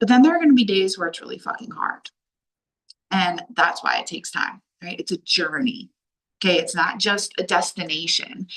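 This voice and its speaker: A loud, animated woman at medium pitch talks at a moderate pace with lively intonation. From Delaware, US. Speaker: life coach. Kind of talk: online workshop talk. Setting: video call from a hallway while traveling.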